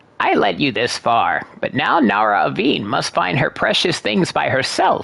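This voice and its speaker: A put-on character voice sits at a low-to-middle pitch, moving at a moderate pace with hardly any pauses. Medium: video game. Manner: calm, sage-like.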